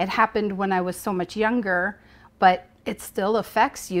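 The woman's voice carries vocal fry. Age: 40s. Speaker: abuse survivor sharing her story; interview guest. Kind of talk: testimony. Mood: reflective, recounting childhood trauma. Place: home room. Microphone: lapel.

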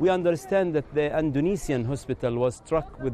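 A man talks at a moderate pace. The sound is dry with no echo, with light background noise. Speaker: field correspondent. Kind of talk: news report to camera. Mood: serious, urgent. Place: street.

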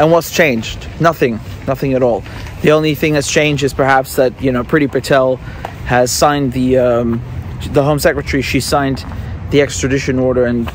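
The intonation of this man's voice is fairly even. The sound is dry with no echo, over light background noise. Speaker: independent journalist. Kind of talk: commentary. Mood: indignant, critical. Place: street. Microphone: phone near.

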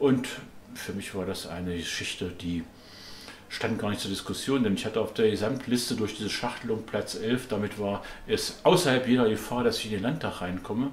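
Over light background noise and audible room echo, a man speaks at a fairly quick pace with ordinary pitch variation. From East Germany. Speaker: politician. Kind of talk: interview testimony. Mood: calm, reflective storytelling. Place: home room.

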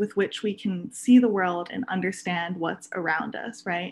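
Her voice is somewhat breathy as this woman talks. She keeps a moderate pace, and her pitch varies in an ordinary way. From Oahu, Hawaii; Hawaii. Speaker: astronomy outreach assistant; guest. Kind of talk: presentation. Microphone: video call.

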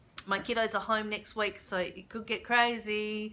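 A woman with an Australian accent and an upbeat, bright, sharp tone over light background noise. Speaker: craft demonstrator. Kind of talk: live tutorial. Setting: home stamping room, live stream. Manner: chatty, upbeat. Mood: warm, cheerful. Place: home room. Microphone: webcam.

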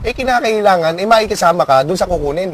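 His intonation is lively. The man's pitch runs high. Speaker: prison inmate. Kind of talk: interview. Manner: halting.

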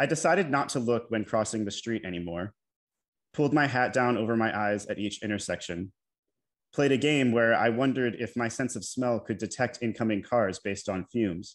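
Talking at a fairly quick pace, a man with an American accent is heard over a quiet background. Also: ordinary pitch variation. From United States (Maryland). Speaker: poet, PhD student in poetry. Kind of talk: poetry reading. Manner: confessional, narrative. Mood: candid confessional narration. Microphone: video call.

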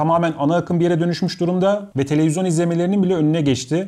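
A man's high-pitched voice at a very fast pace against a quiet background. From Istanbul, Turkey; Turkey. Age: 30s. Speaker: YouTuber and video editor; YouTuber. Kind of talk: talking-head Q&A monologue. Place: home room.

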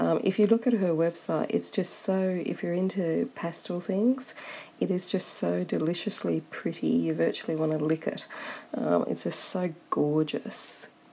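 Against noticeable background noise, a woman speaks with an Australian accent. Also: fairly slow pace. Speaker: coloring book reviewer. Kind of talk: product review. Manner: animated, excitable.

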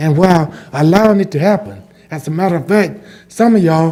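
With a Southern US accent, a man talks at a fairly quick pace in a high pitch, his pitch varying in an ordinary way. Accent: Southern US (Georgia). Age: 60s. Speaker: resident speaking at public comment. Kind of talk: public comment. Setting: county commission meeting.

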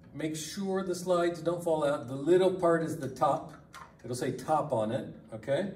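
A man with lively intonation at a fairly slow pace, amid audible room echo and light background noise. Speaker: lab instructor. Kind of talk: tutorial. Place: classroom. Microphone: camera far.

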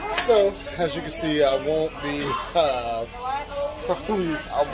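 Over clear music in the background, a man speaks with ordinary pitch variation. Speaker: cruise vlogger. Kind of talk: casual vlog chat. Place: bar. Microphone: phone near.

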